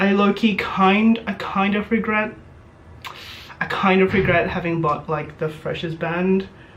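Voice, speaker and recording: Noticeable background noise behind speech at a moderate tempo. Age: 20s. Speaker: YouTuber and university student. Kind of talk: casual chat. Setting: student room. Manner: animated; hesitant.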